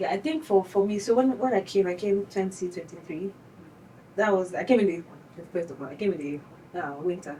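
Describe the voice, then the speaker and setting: Speaking fairly quickly with a Nigerian accent, the voice has lively intonation and big swings in loudness over noticeable background noise. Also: woman, medium pitch for a woman. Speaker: graduate student. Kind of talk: casual chat.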